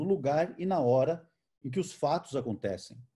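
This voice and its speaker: A man speaks at a moderate pace with lively intonation and a dark, mellow tone. His voice is somewhat breathy against a quiet background. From Brazil, interior of São Paulo state. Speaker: photojournalist. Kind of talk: online conversation, talk. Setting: video call. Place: home room. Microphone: video call.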